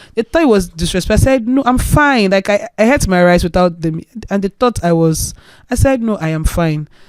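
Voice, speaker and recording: A woman with a Nigerian accent and a medium pitch, very wide pitch swings, a fairly quick pace, and a dry, close sound with no echo. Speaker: influencer sharing health journey. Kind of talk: interview testimony.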